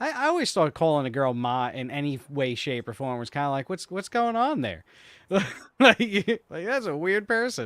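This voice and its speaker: A man speaks with a New York accent and lively intonation at a moderate pace. The sound is dry and close, with no echo. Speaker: podcast co-host. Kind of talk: casual chat.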